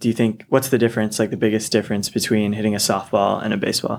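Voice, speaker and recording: A man's fairly low voice with an American accent, very fast and monotone with flat intonation. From Seattle. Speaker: college sports radio co-host. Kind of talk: casual sports interview. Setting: studio.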